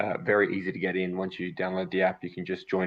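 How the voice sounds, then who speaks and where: This man has an Australian accent. His voice sits at a very deep, low pitch. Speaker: metaverse community representative. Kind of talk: product overview in live stream.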